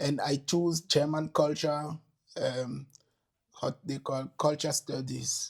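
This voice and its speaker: A man speaks at a very slow pace with long, frequent pauses. His voice is somewhat breathy and fairly high in pitch, with monotone, flat intonation. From Togo (grew up in Tabligbo, Atakpamé, Aneho). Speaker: historian and provenance researcher. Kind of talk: interview. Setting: podcast. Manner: halting, many fillers and repetitions.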